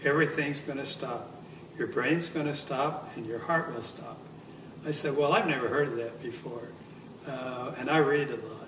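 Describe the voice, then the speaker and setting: Fairly high male voice with fairly even intonation, amid noticeable background noise and audible room echo. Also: moderate pace, big swings in loudness. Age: 70s. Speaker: near-death experience survivor. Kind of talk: testimony. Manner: halting, with many fillers.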